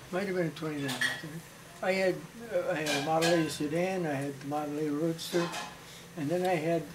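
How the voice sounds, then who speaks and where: Over noticeable background noise, a man with a fairly high pitch talks at a fairly quick pace with fairly even intonation, broken by long, frequent pauses. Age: 80s+. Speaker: storyteller. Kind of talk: family storytelling, reminiscing.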